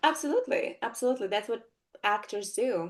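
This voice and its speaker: The speaker has a Russian accent. The background is quiet. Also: woman. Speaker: actress. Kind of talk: interview. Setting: podcast interview. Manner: hesitant, many fillers.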